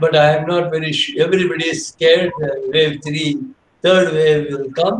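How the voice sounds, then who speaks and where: With audible room echo and light background noise, a man speaks at a moderate pace and fairly high pitch with fairly even intonation. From India. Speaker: biochemist; guest lecturer, professor. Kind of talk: lecture. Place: home room. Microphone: video call.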